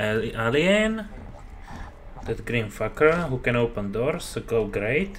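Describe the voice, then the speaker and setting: A man speaks at a very slow pace with very wide pitch swings. He leaves long, frequent pauses over light background noise. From Slovakia. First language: Slovak. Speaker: gamer YouTuber. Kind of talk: gameplay commentary. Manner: casual, profane, halting English. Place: home room.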